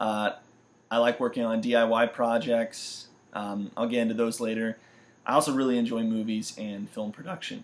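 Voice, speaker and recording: With an American accent, this is an ordinary speaking voice moving at a fairly quick pace. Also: man. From US Midwest and Florida (St. Louis, Missouri, then central Florida from about age 11). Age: 20s. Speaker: university student. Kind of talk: self-introduction video.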